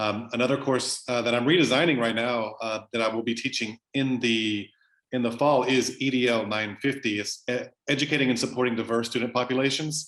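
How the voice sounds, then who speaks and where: The man speaks at a fairly quick pace. His pitch sits in the medium range. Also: fairly even intonation. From US South, southwest Louisiana. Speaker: professor. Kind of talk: interview. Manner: halting, many fillers.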